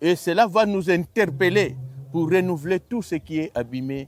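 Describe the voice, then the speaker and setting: This man has an unremarkable speaking voice, pitched fairly high. He talks at a fairly slow pace with lively intonation. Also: dry, close sound with no echo. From Republic of the Congo. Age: 60s. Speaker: choir honorary president. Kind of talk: interview.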